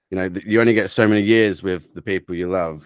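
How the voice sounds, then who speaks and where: A man with a southern English accent speaks at a fairly quick pace and a fairly low pitch with fairly even intonation, in a dry, close sound with no echo on a very clean recording with a silent background. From England, Cambridgeshire. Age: 30s. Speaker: drum and bass producer. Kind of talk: interview.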